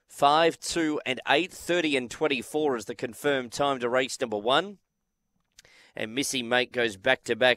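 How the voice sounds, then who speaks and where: Talking at a fairly slow pace, a man with an Australian accent has a bright, sharp tone. The recording is very clean and close, with a silent background and no echo. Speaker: greyhound race caller. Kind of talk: live commentary.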